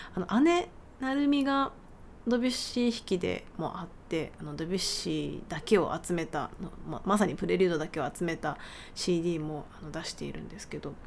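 A woman speaks in a relaxed tone at a fairly low pitch, with vocal fry. Her pitch swings very widely and her loudness rises and falls sharply. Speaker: pianist and podcast host. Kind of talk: casual solo talk. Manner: relaxed, leisurely.

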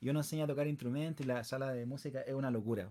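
A man speaks at a medium pitch. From Chile, Puente Alto (Santiago). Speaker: singer. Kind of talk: interview.

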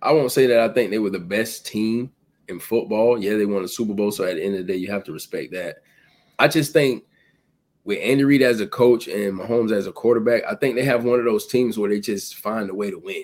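This man talks at a very fast pace, his pitch in the medium range. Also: ordinary pitch variation. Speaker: sports podcast co-host. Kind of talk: casual chat.

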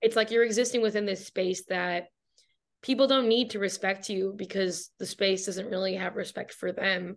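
A woman with an American accent speaks in an unremarkable speaking voice at medium pitch. Her pace is moderate and her intonation fairly even. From Michigan, US Midwest. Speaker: writer and journalist. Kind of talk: interview. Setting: video call.

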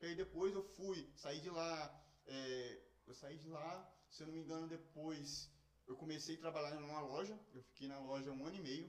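Noticeable background noise is present as a man speaks. His pitch is fairly high with ordinary variation. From Espírito Santo, Brazil (moved from São Paulo at six). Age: 20s. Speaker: youtuber. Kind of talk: casual chat. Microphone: poor microphone quality.

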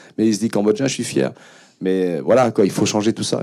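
A man talks at a fairly quick pace in a dark, mellow tone. The recording is very clean, with a silent background. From France. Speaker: film director and music producer. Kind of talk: panel talk. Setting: stage with audience. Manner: halting.

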